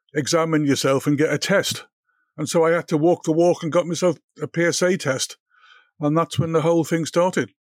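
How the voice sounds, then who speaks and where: With a Liverpool accent, a man talks at a fairly quick pace and fairly even intonation. The sound is dry and close with no echo, on a very clean recording with a silent background. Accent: Scouse. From Liverpool, England. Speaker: cancer patient, consultant. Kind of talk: interview. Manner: halting, repeats words.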